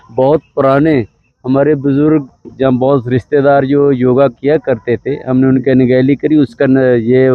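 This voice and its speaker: Flat and monotone in intonation, a man speaks at a medium pitch. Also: very even loudness. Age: 50s. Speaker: yoga event participant. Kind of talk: vox pop interview.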